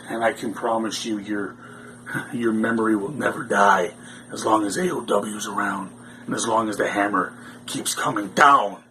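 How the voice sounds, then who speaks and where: A man's fairly low voice at a moderate pace with ordinary pitch variation, plus audible room echo and noticeable background noise. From Canada. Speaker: pro wrestler. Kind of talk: wrestling promo.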